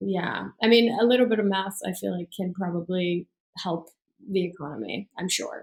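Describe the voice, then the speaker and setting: In a Persian accent, the voice sounds somewhat breathy, with ordinary pitch variation and a moderate pace. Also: woman, medium pitch for a woman. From Iran. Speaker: business coach and entrepreneur. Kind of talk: interview.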